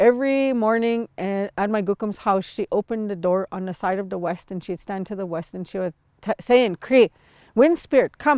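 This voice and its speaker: The recording is very clean, with a silent background and a dry, close sound with no echo. A woman speaks at a medium pitch with ordinary pitch variation and big swings in loudness. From Sweetgrass First Nation, central Saskatchewan, Canada. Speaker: traditional teacher and healer. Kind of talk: spiritual teaching talk. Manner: calm, unhurried, with hesitations.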